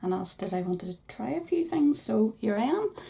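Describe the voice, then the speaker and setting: Against noticeable background noise, a woman with a Northern Irish accent speaks at a fairly quick pace. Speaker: crafting YouTuber. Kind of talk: product haul review.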